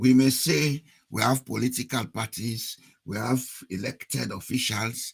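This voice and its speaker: The voice carries vocal fry and moves at a fairly slow pace. Its pitch varies in an ordinary way. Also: man. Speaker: political commentator. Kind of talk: political talk to an online audience.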